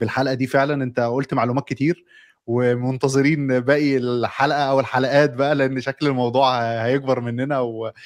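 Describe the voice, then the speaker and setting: Against a quiet background, a man speaks at a moderate pace. His medium-pitched voice is monotone and flat. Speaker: podcast host. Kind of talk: interview.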